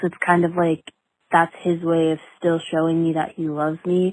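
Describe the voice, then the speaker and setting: With an American accent, a woman speaks at a fairly slow pace. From Southern California, Ventura County. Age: 20s. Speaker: caller, college student. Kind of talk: voice message.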